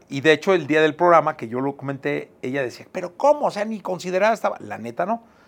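With a Mexican accent, a man speaks at a fairly quick pace. His pitch is fairly high and his intonation lively. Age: 50s. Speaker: podcast host. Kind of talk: casual chat.

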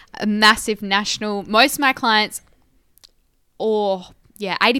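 With an Australian accent, a woman with a fairly high pitch and a bright, sharp tone speaks with long, frequent pauses on a very clean recording with a silent background. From Esperance, Western Australia. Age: young. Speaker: podcast co-host, agriculture communicator. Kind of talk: casual chat.

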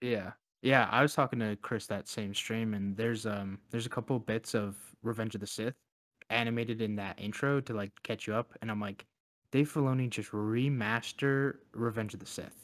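In a very clean recording with a silent background, a man talks at a moderate pace and medium pitch. He has a plain, everyday voice with fairly even intonation. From Canada. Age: 20s. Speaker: podcast co-host. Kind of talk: casual chat.

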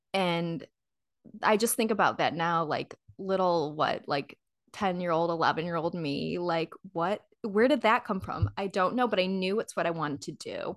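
In a dry, close sound with no echo and a quiet background, a woman with a fairly low pitch and a Midwestern American accent speaks at a moderate pace with ordinary pitch variation. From Michigan, US Midwest. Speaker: actor, model and health coach. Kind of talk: casual interview chat.

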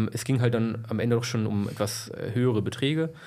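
Fairly quick speech from a man with a dark, mellow tone and audible room echo. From Lower Saxony, Germany (Braunschweig area). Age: 20s. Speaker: entrepreneur, financial services. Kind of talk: interview, casual chat.

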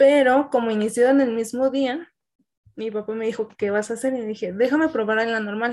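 Speaking at a moderate pace with fairly even intonation, a woman has an unremarkable speaking voice pitched fairly high. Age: 20s. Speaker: student teacher. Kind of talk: casual chat.

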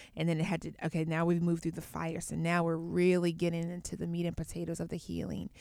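Flat and monotone, a woman speaks at a fairly quick pace in a very clean recording with a silent background. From US, Atlanta (born in Baltimore). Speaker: yoga teacher and entrepreneur. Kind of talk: casual chat.

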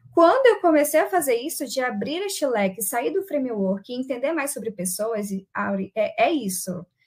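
A high-pitched woman at a moderate pace, her pitch swinging very widely. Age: young. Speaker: agile coach and moderator. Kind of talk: casual panel chat.

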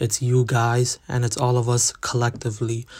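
Somewhat breathy male voice, medium in pitch, at a moderate pace. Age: young. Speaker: podcast host. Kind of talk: solo podcast monologue.

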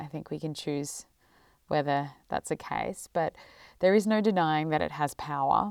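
A woman with an Australian accent speaks in a very deep, low voice at a moderate pace with ordinary pitch variation. The recording is very clean, with a silent background. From Melbourne, Australia. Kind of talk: personal storytelling. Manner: reflective.

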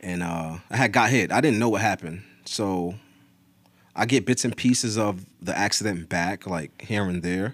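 Recorded very cleanly against a silent background, a man with an American accent talks at a moderate pace in a fairly low pitch, an unremarkable speaking voice with ordinary pitch variation. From northern New Jersey, Teaneck area. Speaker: army veteran. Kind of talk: casual chat.

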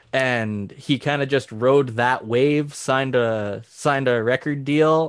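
Man with a Canadian prairie accent, medium pitch, fairly even intonation and a fairly slow pace, against a quiet background. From southern Saskatchewan, Canada. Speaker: country musician. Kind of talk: casual chat.

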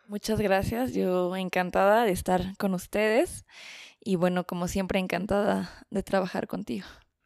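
In a dry, close recording with no echo, very clean and with a silent background, a woman with a plain, everyday voice speaks at a fairly slow pace in a medium pitch, her intonation fairly even. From Mexico City. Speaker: journalist and documentary maker. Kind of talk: casual interview chat.

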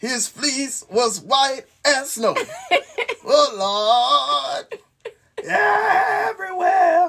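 In a put-on character voice, the speaker shouts at a high pitch in a sing-song way at a very slow pace. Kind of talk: sermon delivery. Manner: rhythmic hooping cadence, sing-song.

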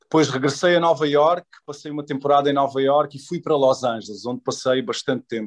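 A man's voice, dry and close with no echo. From Portugal. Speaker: actor. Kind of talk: interview. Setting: video call. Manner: hesitant with fillers.

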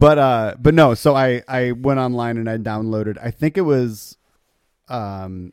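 A man with an American accent and a plain, everyday voice, medium in pitch, at a fairly slow pace with ordinary pitch variation. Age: 30s. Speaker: musician in a band. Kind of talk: casual chat.

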